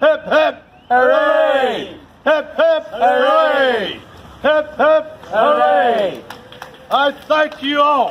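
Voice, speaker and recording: This man's voice is extremely high in pitch and moves at a very slow pace. There is light background noise. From Chadderton, England. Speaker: town crier. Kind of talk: town crier proclamation. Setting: outdoors, shopping precinct. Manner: loud, formal, projected. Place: street. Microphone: camera far.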